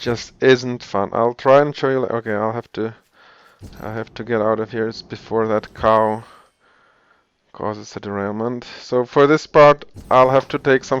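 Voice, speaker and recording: A man with a non-native accent speaks at a medium pitch and a moderate pace. His intonation is monotone and flat. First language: not English. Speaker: video game tutorial creator. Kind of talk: tutorial. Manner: halting, many repetitions and fillers; casual.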